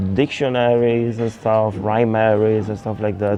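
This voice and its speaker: A man's medium-pitched voice with an Italian accent, monotone and flat, over noticeable background noise. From Italy. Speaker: electronic music producer. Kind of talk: interview monologue. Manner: halting.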